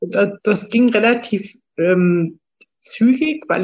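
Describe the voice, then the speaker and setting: A woman talks with lively intonation. Her voice is somewhat breathy. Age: 40s. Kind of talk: interview.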